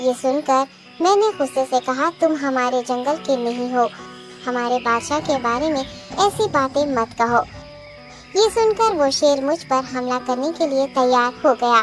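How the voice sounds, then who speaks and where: A cartoonish character voice goes along at a moderate pace over clear background music. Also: female-sounding voice. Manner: deferential, flattering.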